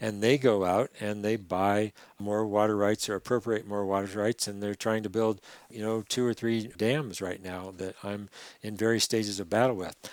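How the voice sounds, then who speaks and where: A man's fairly low voice at a moderate pace, monotone and flat, on a very clean recording with a silent background and a dry, close sound with no echo. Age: 60s. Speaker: river conservation activist. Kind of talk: podcast interview.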